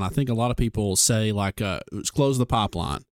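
A man speaks in a normal speaking voice at medium pitch. The sound is dry and close, with no echo. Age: 30s. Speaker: podcast host and doctor. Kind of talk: interview. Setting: studio.

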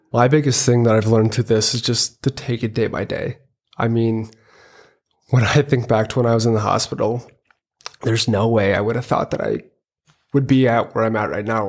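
A man with an American accent speaks at a medium pitch and a fairly quick pace. He has an ordinary speaking voice with ordinary pitch variation. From Minnesota. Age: 20s. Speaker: quadriplegic injury survivor, engineering student. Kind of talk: interview testimony.

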